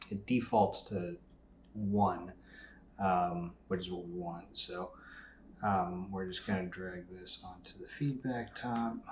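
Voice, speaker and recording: Very slowly, a man speaks in a very deep, low, somewhat breathy voice, with ordinary pitch variation and big swings in loudness. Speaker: software tutorial creator. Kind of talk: tutorial. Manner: casual with many fillers.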